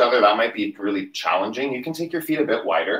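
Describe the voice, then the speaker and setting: Against a quiet background with audible room echo, a man talks at a very fast pace in a bright, sharp tone with lively intonation. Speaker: yoga instructor. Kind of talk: livestream yoga class, guided cueing. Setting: home livestream. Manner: calm, steady, instructional cueing with breath-paced commands; casual, chatty, upbeat. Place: home room. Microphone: camera far.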